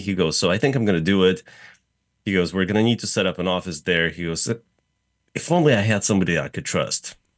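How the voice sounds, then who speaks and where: With a slight Russian accent, a man speaks in a very deep, low pitch that shows ordinary variation. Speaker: real estate developer. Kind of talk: casual interview. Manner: hesitant, many fillers.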